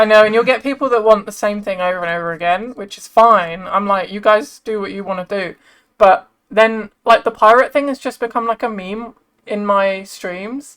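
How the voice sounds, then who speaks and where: A woman with a British accent and a fairly high pitch speaks at a moderate pace with ordinary pitch variation and big swings in loudness on a very clean recording with a silent background. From England. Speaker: streamer. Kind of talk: casual chat.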